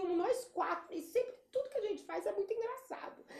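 A woman's dark, mellow tone with lively intonation. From Espírito Santo, Brazil. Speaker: event planner and business owner. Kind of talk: interview.

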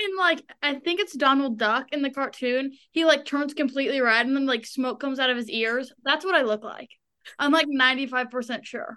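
At a moderate pace, a woman projects a raised, high-pitched voice with a bright, sharp tone and ordinary pitch variation. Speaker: co-host guest, sister. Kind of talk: casual chat. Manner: loud, animated.

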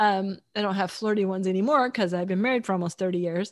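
Captured on a very clean recording with a silent background, a woman with an American accent and a plain, everyday voice talks at a fairly quick pace, medium pitch and fairly even intonation. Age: 60s. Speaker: podcast co-host and romance author. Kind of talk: casual chat.

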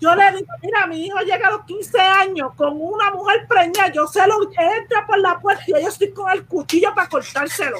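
Barely pausing, a woman speaks at an extremely high pitch with ordinary pitch variation. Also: moderate pace. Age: 30s. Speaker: parent. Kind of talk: casual chat.

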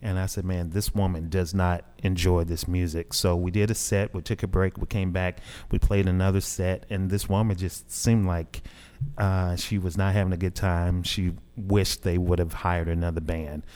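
With a Southern US accent, a man talks at a moderate pace in a very deep, low pitch and a monotone, flat intonation, the recording very clean with a silent background. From Southeast Arkansas, US South. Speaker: jazz musician. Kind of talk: interview. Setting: radio studio.

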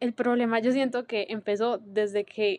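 A woman speaks in a monotone, flat intonation with a dry, close sound and no echo. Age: 20s. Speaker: podcast host; university student. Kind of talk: solo monologue. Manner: casual, hesitant with fillers.

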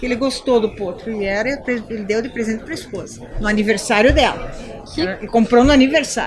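The voice moves at a fairly quick pace with ordinary pitch variation. Audible room echo and noticeable background noise are present. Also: woman, fairly high pitch for a woman. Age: 50s. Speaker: horse breeder and veterinarian. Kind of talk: casual interview. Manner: animated.

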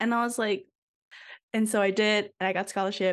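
A woman with a normal speaking voice and medium pitch. The background is quiet. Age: 20s. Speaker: podcast co-host, architecture student. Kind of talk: casual chat.

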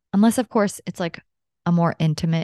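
A woman talks at a fairly quick pace in a plain, everyday voice, fairly low in pitch with ordinary variation. The sound is dry and close with no echo, and the background is quiet. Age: 30s. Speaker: podcast host and health coach. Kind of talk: solo personal monologue.

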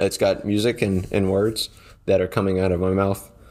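A man with a fairly low pitch talks in a very clean recording with a silent background. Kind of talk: casual monologue podcast episode. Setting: home recording without monitoring. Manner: casual, rambling, filler-heavy.

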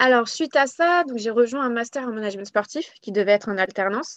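Fairly high-pitched woman with an unremarkable speaking voice, ordinary pitch variation and a moderate pace, a quiet background and a dry, close sound with no echo. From Paris, France. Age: 20s. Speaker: sports association founder and retail manager. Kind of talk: casual interview. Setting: podcast recording.

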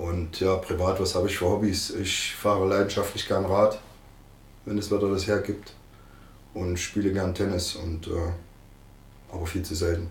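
A man talks in a very deep, low voice with monotone, flat intonation and long, frequent pauses. The room echo is audible. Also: moderate pace. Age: 50s. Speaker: football coach. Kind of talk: interview.

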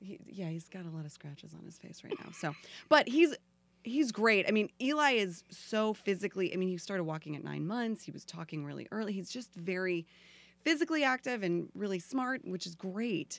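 In a plain, everyday voice with an American accent, the speaker moves at a fairly quick pace with lively intonation and big swings in loudness, on a very clean recording with a silent background. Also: woman, medium pitch for a woman. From Florida. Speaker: actress. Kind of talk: casual chat.

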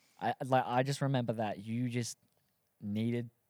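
Recorded very cleanly against a silent background, a man with an Australian accent speaks in an animated tone at a medium pitch, the sound dry and close with no echo. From South Australia. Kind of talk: casual chat. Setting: studio.

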